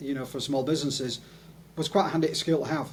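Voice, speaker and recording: A man talks at a fairly high pitch, his voice somewhat breathy. His intonation stays fairly even. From northern England (Leeds, Yorkshire). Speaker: video producer, testimonials specialist. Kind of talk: interview.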